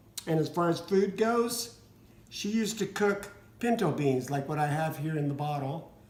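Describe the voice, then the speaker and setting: A high-pitched man speaks with ordinary pitch variation amid noticeable background noise and audible room echo. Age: 60s. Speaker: vlogger with cystic fibrosis. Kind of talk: casual personal vlog. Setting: dining room at home. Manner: halting, with fillers.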